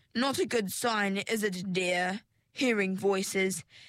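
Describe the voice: Plain reading aloud comes through against a quiet background.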